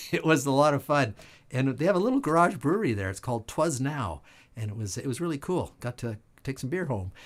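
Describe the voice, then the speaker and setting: In a very clean recording with a silent background, a man with a fairly high pitch talks at a very fast pace with lively intonation. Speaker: online show host and musician. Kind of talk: casual live-stream talk. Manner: hesitant fillers.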